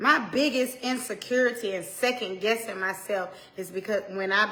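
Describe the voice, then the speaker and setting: In an Atlanta accent, a woman at medium pitch speaks at a moderate pace with ordinary pitch variation, against noticeable background noise and audible room echo. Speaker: pastor's wife, women's ministry speaker. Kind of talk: motivational sermon. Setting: solo to camera, livestream. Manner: stumbles over words.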